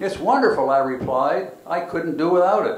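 Room echo can be heard. The man talks at a fairly slow pace. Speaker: panelist. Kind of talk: reading aloud historical remarks. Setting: community center with audience. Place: hall. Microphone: handheld.

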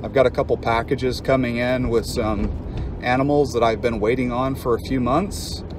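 A man speaks at a fairly slow pace. The sound is dry with no echo, and there is noticeable background noise. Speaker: reptile keeper channel host. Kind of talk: casual vlog chat. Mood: upbeat, relaxed. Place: car. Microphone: phone near.

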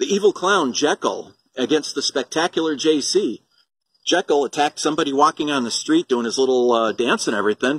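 A man talks at a fairly quick pace with a fairly high pitch and ordinary pitch variation. The sound is dry with no echo. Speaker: wrestling promoter. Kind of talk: wrestling promo announcement. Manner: animated, hyped-up promoter delivery. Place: garden. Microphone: phone near.

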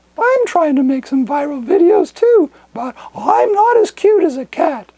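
A cartoonish character voice pitched high delivers its lines at a fairly slow pace. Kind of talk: comedic monologue to camera. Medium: puppet.

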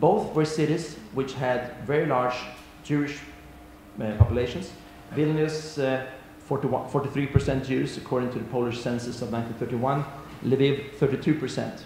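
Amid light background noise and audible room echo, a man speaks very slowly with long, frequent pauses and fairly even intonation. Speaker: panelist. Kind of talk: conference talk. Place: hall. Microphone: podium.

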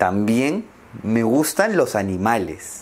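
At a very slow pace, a man speaks. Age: 20s. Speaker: language teacher. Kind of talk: slow scripted speech for learners. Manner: slow, clear. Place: home room. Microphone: lapel.

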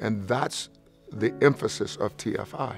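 A man speaks at a fairly slow pace with fairly even intonation. The sound is dry with no echo, with faint music in the background. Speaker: pastor. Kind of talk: interview answer. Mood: warm, earnest. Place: studio. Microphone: lapel.

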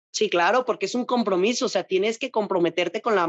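In a dry recording with no echo and a quiet background, a woman speaks with a Mexican accent. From Mexico. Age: 20s. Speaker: bodybuilding athlete; interviewee. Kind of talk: interview. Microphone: video call.

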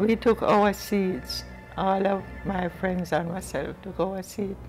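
The speech is very slow, with faint music in the background. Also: woman. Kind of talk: interview answer. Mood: reflective, sometimes smiling. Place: home room.

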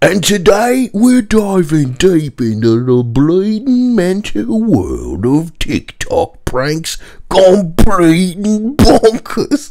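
A man puts on a high-pitched character voice in a Cockney accent, speaking at a very slow pace with hardly any pauses. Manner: exaggerated, jokey.

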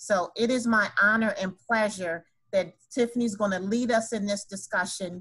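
A woman's bright, sharp voice at a moderate pace, with ordinary pitch variation over a quiet background. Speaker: event host. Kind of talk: formal introduction. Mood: warm, honored. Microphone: video call.

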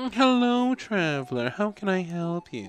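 A man does a put-on character voice, pitched high for a man, at a moderate pace. Clear background noise runs behind him. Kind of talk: posh.

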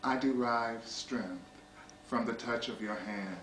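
A man with an American accent talks amid audible room echo and light background noise. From US. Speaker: poetry reader. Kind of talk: poetry reading, measured and intimate, read aloud from an anthology. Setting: small private gathering of friends. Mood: calm, tender, measured. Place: home room. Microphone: old recording.

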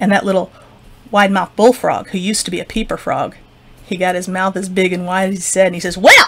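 What you hear is plain reading aloud.

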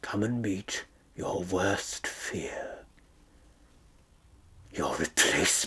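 A man whispers at a very slow pace. Long pauses come often. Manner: sardonic, theatrical, mocking.

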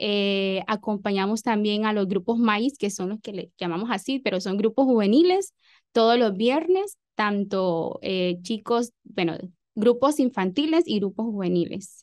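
Against a quiet background, a woman speaks at a fairly slow pace with a medium pitch and ordinary pitch variation. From Honduras, El Progreso, Yoro; Honduras. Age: 20s. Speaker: teacher. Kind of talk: radio interview. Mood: warm, calm. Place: studio. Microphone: studio mic.

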